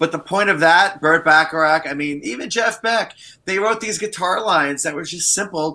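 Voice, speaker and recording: An animated tone with ordinary pitch variation, plus noticeable background noise. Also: man, high pitch for a man. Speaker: guitarist and radio show host. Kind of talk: casual podcast conversation. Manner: fast.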